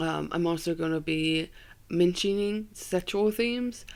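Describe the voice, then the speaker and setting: On a very clean recording with a silent background, the words unfold at a very slow pace. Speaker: podcast host. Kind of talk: casual solo commentary. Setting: home bedroom. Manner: hesitant, many fillers.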